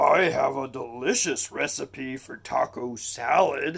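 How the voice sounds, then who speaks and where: A man puts on a booming, raspy character voice. He speaks at a fairly slow pace. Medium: read story.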